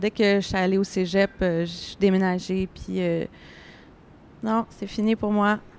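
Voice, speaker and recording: A woman speaks at a very slow pace and medium pitch with monotone, flat intonation, in a very clean recording with a silent background. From Montreal, Little Burgundy. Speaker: first-time novelist, film technician. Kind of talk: panel discussion. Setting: live-streamed panel at book fair.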